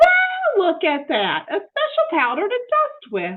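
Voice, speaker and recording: In a put-on character voice, a woman talks fairly slowly, squeaky and extremely high-pitched. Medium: read story. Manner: folksy, cheerful.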